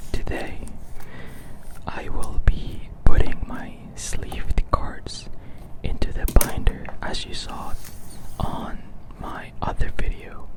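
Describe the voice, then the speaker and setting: Whispering in a relaxed tone comes through over noticeable background noise. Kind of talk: ASMR whispered talk while organizing trading cards. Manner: soft-spoken, relaxed.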